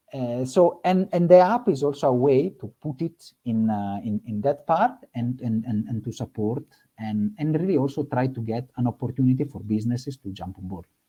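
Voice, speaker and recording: A man's dark, mellow voice carries lively intonation. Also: medium pitch for a man, moderate pace. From born in Africa, Italian background. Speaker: nonprofit regional manager. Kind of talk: panel discussion. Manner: halting.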